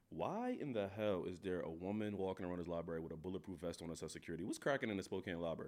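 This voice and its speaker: A very deep, low male voice with an animated tone, very fast with hardly any pauses and ordinary pitch variation. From US East Coast, North Philadelphia. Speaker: diversity and inclusion worker, rapper. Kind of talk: casual chat.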